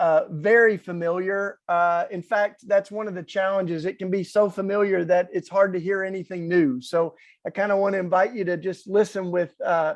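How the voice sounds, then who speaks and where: A man's high-pitched voice with a strong Southern US accent, fairly even intonation and a moderate pace, against a quiet background. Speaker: activist speaker. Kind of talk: inspirational talk.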